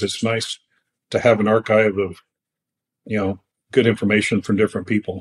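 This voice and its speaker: The sound is dry and close with no echo as a man speaks with an American accent. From California. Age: 60s. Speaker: falconer. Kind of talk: casual chat. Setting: video call.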